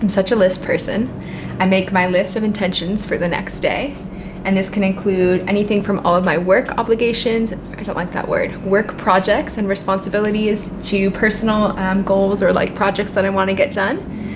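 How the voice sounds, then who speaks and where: At a moderate pace, a woman speaks in a monotone, flat way over noticeable background noise. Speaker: entrepreneur vlogger. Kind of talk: casual vlog chat. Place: home room. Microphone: camera far.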